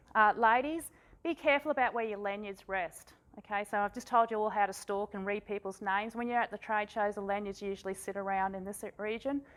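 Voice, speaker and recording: This woman speaks at a fairly quick pace in an Australian accent. Her pitch is medium, with ordinary pitch variation. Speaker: workshop presenter. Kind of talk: workshop presentation.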